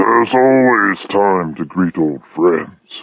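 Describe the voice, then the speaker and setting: In a put-on character voice, a man growls in a gruff, very deep, low pitch, speaking at a very slow pace with lively intonation. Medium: read story. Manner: gruff, growling.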